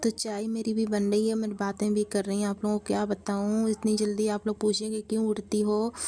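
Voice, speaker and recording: A woman talks fairly slowly in a fairly high voice. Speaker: vlogger. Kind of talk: casual vlog talk to camera. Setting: small room at home, early morning.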